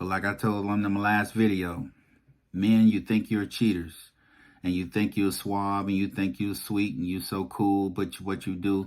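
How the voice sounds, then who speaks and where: The recording is very clean, with a silent background. A man speaks fairly slowly with fairly even intonation. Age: 50s. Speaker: YouTube commentator. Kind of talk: personal vlog monologue. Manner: emphatic, repetitive.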